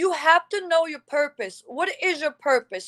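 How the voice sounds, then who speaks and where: Animated in tone, a woman with a non-native accent speaks at a fairly slow pace with very wide pitch swings, the sound dry and close with no echo. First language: not English. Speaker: motivational speaker. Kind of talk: live motivational talk. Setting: livestream.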